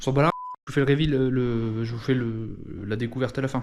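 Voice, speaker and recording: Against noticeable background noise, a man speaks at a very fast pace with a medium pitch and fairly even intonation. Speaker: YouTuber. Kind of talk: casual vlog. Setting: at home, filming with action camera. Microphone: room echo.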